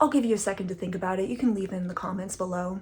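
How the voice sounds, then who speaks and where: The voice is somewhat breathy. Its tone is animated. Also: woman. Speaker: comedian and former barista. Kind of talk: online stand-up monologue. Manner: casual, animated.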